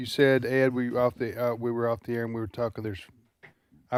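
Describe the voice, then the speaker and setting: Speaking very fast with a Mississippi accent, a man uses a medium pitch, and the sound is dry and close with no echo. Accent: Southern American (Mississippi). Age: 60s. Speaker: radio talk show host. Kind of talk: casual chat. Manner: halting, many restarts.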